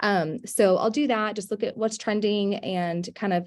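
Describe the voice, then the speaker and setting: On a very clean recording with a silent background, a woman is soft-spoken. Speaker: real estate agent. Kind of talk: panel discussion.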